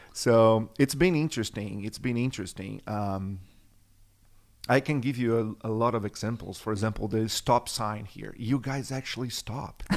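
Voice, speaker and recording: A man with a Brazilian Portuguese accent talks at a moderate pace and medium pitch with ordinary pitch variation. The recording is very clean, with a silent background. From Brazil, São Paulo. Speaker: church worship and production director. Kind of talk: casual chat.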